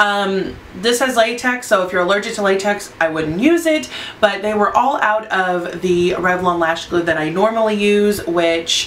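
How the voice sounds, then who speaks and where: Noticeable background noise runs through the clip. An audible room echo is also present. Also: woman. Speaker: beauty vlogger. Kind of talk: casual product review. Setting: home studio under lights. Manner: fast; halting.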